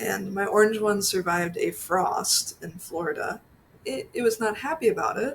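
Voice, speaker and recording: A woman is talking here. Her accent is American. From Pennsylvania. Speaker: orchid vlogger. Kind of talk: casual vlog voiceover.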